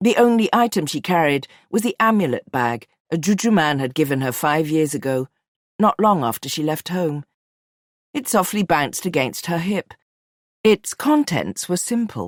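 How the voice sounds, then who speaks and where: Her pitch sits fairly low for a woman. It makes very wide swings. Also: moderate pace, dry, close sound with no echo. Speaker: audiobook narrator. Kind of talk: audiobook narration.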